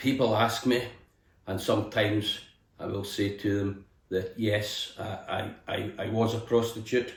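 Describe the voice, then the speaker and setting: A man with a west of Scotland accent speaks in a fairly low, somewhat breathy, monotone voice with flat intonation and audible room echo. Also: fairly slow pace. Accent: west of Scotland Scottish. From Scotland, Helensburgh near Glasgow. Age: 60s. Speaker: distillery tour guide. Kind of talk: casual interview chat. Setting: indoors in a cottage. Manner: hesitant, with fillers and repetitions.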